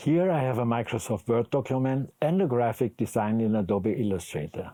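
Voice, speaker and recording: A man with a German accent at a fairly quick pace, with lively intonation and very even loudness. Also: medium pitch for a man. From Germany. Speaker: video editing instructor. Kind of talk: tutorial.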